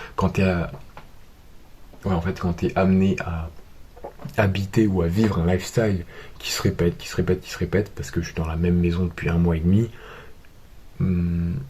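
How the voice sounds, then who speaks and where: Speaking at a moderate pace, a man with a very deep, low voice keeps a monotone, flat intonation, leaves long, frequent pauses and makes big swings in loudness. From France. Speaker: vlogger. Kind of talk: vlog monologue.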